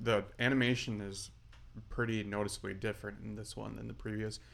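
A man speaks with a fairly low pitch and fairly even intonation. Audible room echo surrounds his voice. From North Dakota. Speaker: brewer. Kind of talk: casual chat.

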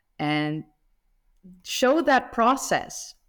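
A woman speaks in a Dutch accent. Her pace is very slow. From Netherlands. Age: 30s. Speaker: history YouTuber. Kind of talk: casual chat.

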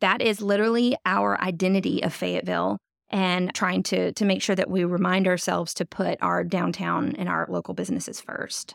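Speaking at a fairly quick pace, a woman hardly pauses at all. The recording is very clean, with a silent background. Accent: Southern US. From North Louisiana. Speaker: downtown development director. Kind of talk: casual interview.

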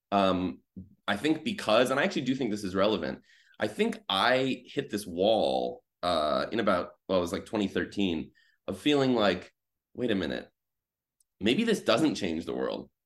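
A man's fairly low voice with an American accent, vocal fry and very wide pitch swings, at a moderate pace on a very clean recording with a silent background. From US Midwest. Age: 30s. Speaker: journalist. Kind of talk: casual chat.

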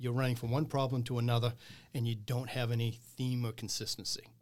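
A somewhat breathy man at medium pitch and a fairly quick pace, on a very clean recording with a silent background. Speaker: business owner. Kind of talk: casual interview chat.

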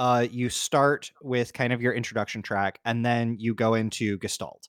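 The recording is very clean and dry, close-sounding with no echo and a silent background. A man speaks at a moderate pace with medium pitch. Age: 30s. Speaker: podcast host. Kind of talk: casual interview chat.

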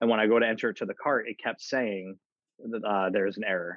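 A plain, everyday voice, this man speaks at a fairly quick pace in a fairly low pitch with fairly even intonation. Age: 30s. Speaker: podcast co-host. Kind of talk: casual chat.

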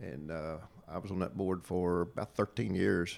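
A man with a slight Appalachian accent talks in a very deep, low pitch. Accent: Southern Appalachian twang, slight. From Southwest Virginia. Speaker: retired state fire marshal. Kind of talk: casual interview conversation. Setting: in-person studio.

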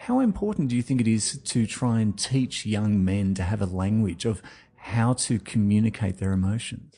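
The man has a dark, mellow tone at a fairly low pitch, keeping his loudness very even. His intonation is fairly even and his pace moderate, with a quiet background. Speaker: podcast host interviewer. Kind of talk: interview.

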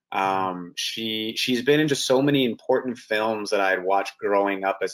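On a very clean recording with a silent background, a man with a Canadian accent and an unremarkable speaking voice talks at a fairly low pitch and a moderate pace. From Canada. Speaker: actor. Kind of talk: casual interview.

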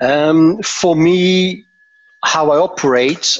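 A man speaks with a Dutch accent. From Belgium, Antwerp. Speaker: pricing management director. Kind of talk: interview.

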